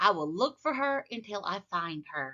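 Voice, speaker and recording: A woman with a medium pitch uses a put-on character voice. She talks at a moderate pace with very wide pitch swings. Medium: read story.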